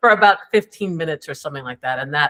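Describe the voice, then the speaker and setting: In a normal speaking voice, a woman with a fairly low pitch and ordinary pitch variation is heard in a very clean recording with a silent background, the sound dry and close with no echo. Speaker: coach. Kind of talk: interview answer. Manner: casual, conversational.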